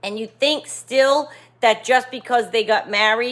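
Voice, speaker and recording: Speaking at a moderate pace, a woman has a fairly high pitch and an animated tone. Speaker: relationship coach and video creator. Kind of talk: casual talking-head monologue.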